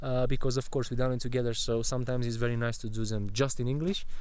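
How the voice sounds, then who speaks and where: A man with a Romanian accent and ordinary pitch variation, in audible room echo. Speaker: travel vlogger. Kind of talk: casual vlog chat. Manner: halting.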